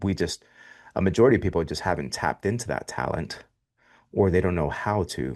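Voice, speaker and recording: Against a quiet background, a man with an American accent speaks at a fairly quick pace in a very deep, low pitch with vocal fry, lively intonation and long, frequent pauses. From Miami, Florida. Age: 40s. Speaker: podcast host. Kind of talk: interview.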